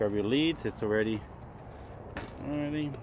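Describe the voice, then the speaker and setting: A man speaks in a normal speaking voice at a fairly quick pace with ordinary pitch variation, the sound dry with no echo and light background noise behind him. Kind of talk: tutorial. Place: open country.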